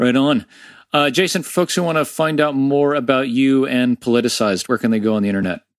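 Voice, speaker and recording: With an American accent, a man talks very fast at a medium pitch with ordinary pitch variation and very even loudness against a quiet background. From Florida, US. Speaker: podcast host. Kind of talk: casual interview.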